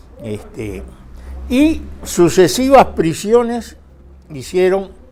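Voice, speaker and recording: His pitch swings very widely. The voice belongs to a man. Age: 80s+. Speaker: retired trade union leader. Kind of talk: interview testimony. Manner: halting, many fillers.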